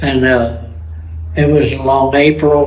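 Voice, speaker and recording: The speech comes at a very slow pace, with noticeable background noise and audible room echo. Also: man. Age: 80s+. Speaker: war veteran. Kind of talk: testimony. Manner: halting.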